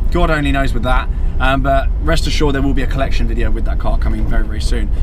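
Against noticeable background noise, a man talks at a very fast pace in a dry sound with no echo. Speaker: car vlogger. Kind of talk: casual vlog chat. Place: car. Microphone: phone near.

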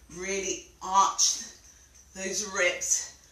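A woman's voice carries audible room echo. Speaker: fitness instructor. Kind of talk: exercise class instruction. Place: home room. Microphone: camera far.

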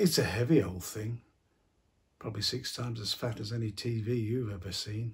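A somewhat breathy man speaks at a fairly slow pace. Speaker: actor playing a grandfather figure. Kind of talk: acted monologue to a teenager. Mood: warm, gently concerned.

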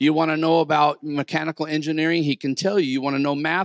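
Over a quiet background, a man's voice comes through dry, with no echo. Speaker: preacher. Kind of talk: sermon. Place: church. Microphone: handheld.

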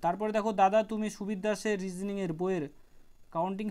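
A man's high voice in a monotone, flat intonation, on a very clean recording with a silent background. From West Bengal, Birbhum. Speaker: YouTube exam-prep educator. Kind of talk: Q&A video answering viewer questions. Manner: casual, conversational.

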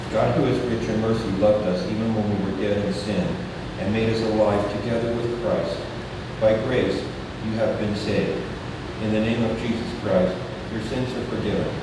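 Speaking at a moderate pace with long, frequent pauses, this voice sits in strong room echo over noticeable background noise. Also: man. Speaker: pastor leading worship. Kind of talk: liturgical reading. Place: church.

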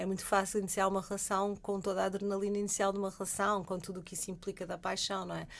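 A woman talking at a very fast pace with hardly any pauses, medium pitch and a monotone, flat intonation. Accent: European Portuguese. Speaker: sexologist. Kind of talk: radio interview. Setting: radio studio.

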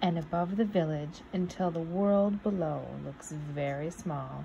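Soft-spoken and fairly low-pitched, a woman talks at a fairly slow pace in a gentle, playful tone with ordinary pitch variation, light background noise behind her. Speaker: nature preserve storytime reader. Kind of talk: bedtime story reading aloud to children. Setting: video recording for online viewers. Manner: soft, gentle, slow storyteller pacing with playful, warm expression. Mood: warm, cheerful. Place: home room. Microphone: phone near.

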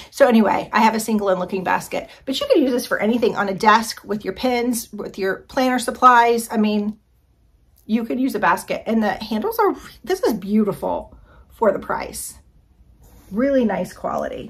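A woman speaks in an enthusiastic tone at a moderate pace, her voice somewhat breathy. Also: fairly high pitch for a woman, ordinary pitch variation. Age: 50s. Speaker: lifestyle YouTuber doing product hauls. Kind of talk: casual product haul review. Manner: chatty, enthusiastic.

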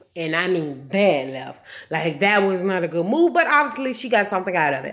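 A woman speaks at a fairly quick pace with very wide pitch swings. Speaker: YouTuber reviewing TV show; TV show reviewer. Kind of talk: casual vlog review. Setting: walking with handheld camera. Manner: casual, conversational. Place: home room. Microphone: phone near.

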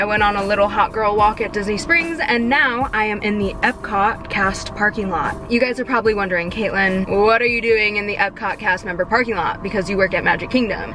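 A woman talks at a fairly quick clip with hardly any pauses and ordinary pitch variation. The sound is dry with no echo, and faint music plays behind her. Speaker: vlogger. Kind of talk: casual vlog chat. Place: car. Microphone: phone near.

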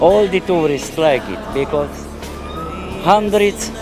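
Over clear background music, a man talks at a very slow pace in a dry recording with no echo. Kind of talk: interview answer. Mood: proud, cheerful about his bus. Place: station. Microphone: handheld.

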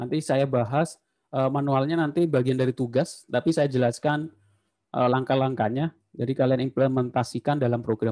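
Against a quiet background, a man at medium pitch speaks at a moderate pace with a dark, mellow tone. His loudness stays very even and his intonation fairly even. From Indonesia. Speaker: university lecturer. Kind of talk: lecture. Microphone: video call.

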